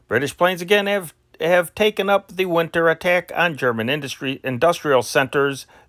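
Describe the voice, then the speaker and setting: A man's high-pitched voice at a moderate pace, with ordinary pitch variation and a dry, close sound free of echo. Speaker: newspaper history narrator reading archive news. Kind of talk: news reading from a historical newspaper. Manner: non-professional, personal delivery style.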